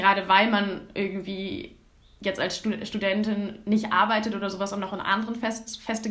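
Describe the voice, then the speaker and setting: Talking at a fairly quick pace, a woman uses a fairly high voice. Room echo is audible, and background noise is noticeable. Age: 20s. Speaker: climate activist and student. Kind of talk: casual interview. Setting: video call. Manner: hesitant, many fillers.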